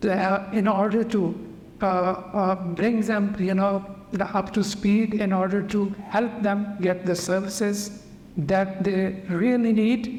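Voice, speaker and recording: Very slow speech over noticeable background noise. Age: 70s. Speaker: community health ambassador. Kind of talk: interview.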